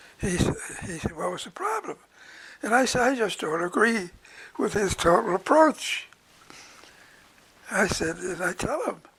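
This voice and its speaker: Over noticeable background noise, a high-pitched man speaks at a moderate pace with lively intonation and long, frequent pauses. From Nova Scotia, Canada. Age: 80s+. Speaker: retired psychiatrist. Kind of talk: interview answer.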